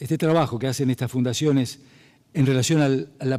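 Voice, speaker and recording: A man with a Rioplatense accent talks at a fairly quick pace, his pitch medium and its variation ordinary. His tone is dark and mellow. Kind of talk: spoken, hesitant, presenting on radio.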